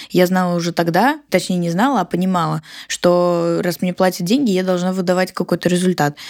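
A woman with an ordinary speaking voice speaks at a fairly quick pace and fairly low pitch, with ordinary pitch variation. The sound is dry and close with no echo, in a very clean recording with a silent background. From Siberia, Russia (Barnaul). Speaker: entrepreneur, marketing agency founder. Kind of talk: casual interview.

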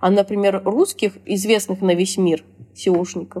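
Medium pitch from a woman, a dark, mellow tone, and a moderate pace. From Russia. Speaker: SEO specialist. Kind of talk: interview. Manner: casual.

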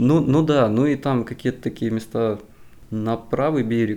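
Speaking at medium pitch with fairly even intonation, a man uses an ordinary speaking voice. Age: 20s. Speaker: civil engineer. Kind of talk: casual chat.

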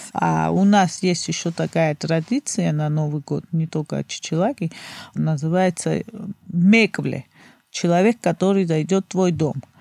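A woman with a Georgian accent speaks at a fairly slow pace, her pitch fairly low and its variation ordinary. Her tone is dark and mellow, and the very clean recording has a silent background and a dry, close sound with no echo. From Georgia, Batumi. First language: Georgian (speaking Russian). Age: 30s. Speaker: guest from Georgia. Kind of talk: casual interview chat.

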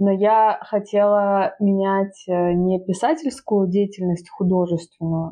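This woman talks at a very slow pace. Her pitch sits in the medium range, and her intonation stays fairly even. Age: 20s. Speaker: writer and photographer. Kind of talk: casual chat.

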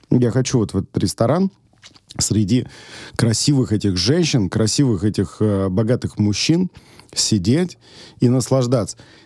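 With a dark, mellow tone, a man speaks fairly slowly and with lively intonation. His loudness stays very even, broken by long, frequent pauses. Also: medium pitch for a man. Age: 30s. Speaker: restaurateur and chef. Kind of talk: casual chat. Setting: studio. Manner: casual, filler-heavy speech.

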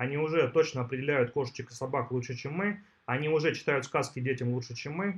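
A man's fairly high voice, very fast and somewhat breathy, with ordinary pitch variation. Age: 40s. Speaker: tech entrepreneur. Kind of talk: interview.

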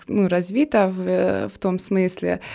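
A woman with a non-native accent speaks at a very slow pace with a medium pitch. Her tone is dark and mellow, on a very clean recording with a silent background. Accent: foreign accent in Russian. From Bosnia and Herzegovina, Trebinje. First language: Serbian (speaking Russian). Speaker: graduate student. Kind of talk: interview. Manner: hesitant, many fillers.

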